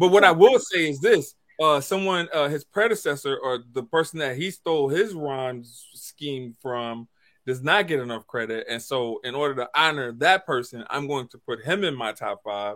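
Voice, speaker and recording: In an American accent, a man with a fairly high pitch and an ordinary speaking voice talks at a moderate pace with lively intonation and big swings in loudness, on a very clean recording with a silent background. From US South. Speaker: podcast host. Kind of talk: casual chat.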